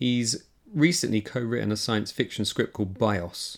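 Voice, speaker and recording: An unremarkable speaking voice with fairly even intonation comes at a moderate pace. The recording is very clean, with a silent background. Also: man. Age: 40s. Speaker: podcast host. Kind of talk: scripted narration; interview.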